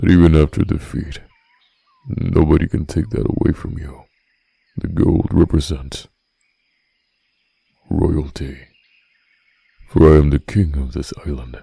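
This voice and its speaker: A put-on character voice at a moderate pace, broken by long, frequent pauses. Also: man, very deep, low pitch for a man, ordinary pitch variation. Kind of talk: boyfriend roleplay audio. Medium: solo performance. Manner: slow, soft-spoken.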